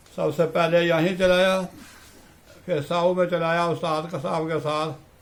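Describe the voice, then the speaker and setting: A man speaks in a high voice. His intonation is flat and monotone. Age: 80s+. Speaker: Islamic cleric and madrasa teacher. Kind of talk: interview answer.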